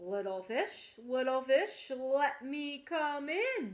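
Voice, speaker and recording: A put-on character voice from a woman, high-pitched and very slow. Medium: read story. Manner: menacing, blustering.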